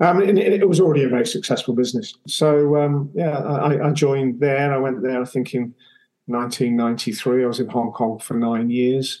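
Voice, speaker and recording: A man with an English accent talks at a fairly slow pace with ordinary pitch variation. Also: medium pitch for a man. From England. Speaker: podcast guest, former chef and restaurateur. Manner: conversational storyteller.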